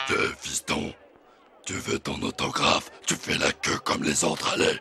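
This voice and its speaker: At a moderate pace, a man performs a raspy put-on character voice. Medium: fan dub. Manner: brusque, commanding.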